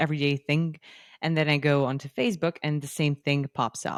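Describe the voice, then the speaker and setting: Recorded very cleanly against a silent background, a woman with an American accent speaks at a moderate pace in a very deep, low pitch, the sound dry and close with no echo. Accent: American accent over native British. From UK. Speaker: podcast host. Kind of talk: interview. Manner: animated.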